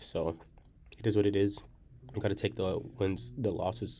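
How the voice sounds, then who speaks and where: A quiet man speaks at a moderate pace in a fairly low voice. His tone is dark and mellow. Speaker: day trader. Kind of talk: trading recap tutorial. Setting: library. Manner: quiet, low voice.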